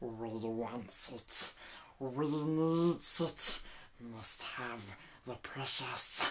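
In a put-on character voice, raspy and low-to-middle in pitch, the speaker goes at a very slow pace with long, frequent pauses. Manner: crappy, raspy creature impression.

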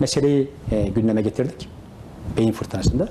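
The recording has light background noise and audible room echo. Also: man. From Turkey, Isparta; Turkey. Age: 40s. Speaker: retired gendarmerie specialist, association president; interview guest. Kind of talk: TV interview; interview answer. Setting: association headquarters office. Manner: hesitant with many fillers. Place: office. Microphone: lapel.

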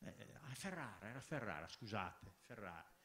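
A man's voice moves through very wide pitch swings. Light background noise sits behind him. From Italy. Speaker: professor. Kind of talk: panel discussion. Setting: stage with audience. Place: hall. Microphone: handheld.

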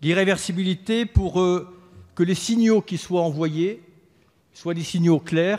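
A man speaks at a fairly slow pace in a high pitch. His pitch varies in an ordinary way, and the background is quiet. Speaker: government minister. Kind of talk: parliamentary speech. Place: hall. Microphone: podium.

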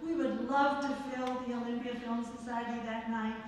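With strong room echo and light background noise, a woman speaks at a high pitch. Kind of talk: announcements. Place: hall.

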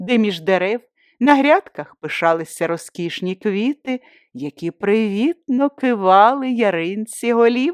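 Lively intonation in plain reading aloud, set against a quiet background

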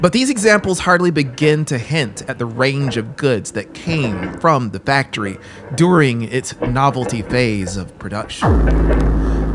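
A man at a fairly slow pace, with music in the background. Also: lively intonation, hardly any pauses. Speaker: audiobook narrator. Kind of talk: horror audiobook reading. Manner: slow, meditative. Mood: eerie, intense storytelling. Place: studio. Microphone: studio mic.

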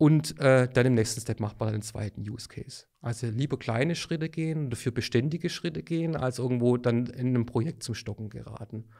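A man speaks in an ordinary speaking voice at a medium pitch, with ordinary pitch variation. His pace is fairly quick, with hardly any pauses. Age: 40s. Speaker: sales manager. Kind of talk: expert interview.

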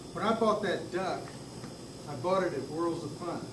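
There is noticeable noise in the background while a man talks. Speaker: presenter. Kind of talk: informal talk to a club meeting. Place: meeting room. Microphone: camera far.

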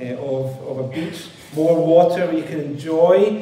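A man is speaking. Audible echo fills the room. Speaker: preacher. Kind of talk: sermon. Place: church. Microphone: headset.

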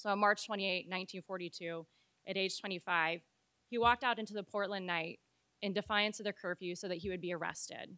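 A woman with a bright, sharp tone talks at a moderate pace with fairly even intonation over a quiet background. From Oregon. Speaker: civil rights lawyer, panelist. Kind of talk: prepared speech. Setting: event venue with live audience. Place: hall. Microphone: podium.

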